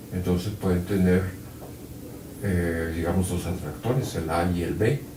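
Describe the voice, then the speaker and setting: Speech comes at a fairly slow pace with audible room echo. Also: man. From Mexico City. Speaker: physics professor. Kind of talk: lecture. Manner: halting, many fillers.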